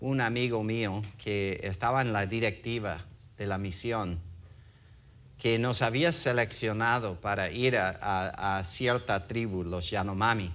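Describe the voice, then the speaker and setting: Audible room echo surrounds a man with a non-native accent and a fairly low pitch. He talks at a very slow pace with ordinary pitch variation. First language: English (speaking Spanish). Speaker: pastor, former missionary. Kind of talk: sermon. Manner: halting, many fillers.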